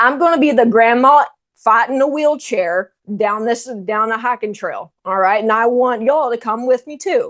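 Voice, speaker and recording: Against a quiet background, a woman with an American accent speaks at a high pitch with ordinary pitch variation. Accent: Texan, noticeable, thicker when fast. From Texas. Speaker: strength and nutrition coach. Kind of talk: online masterclass presentation.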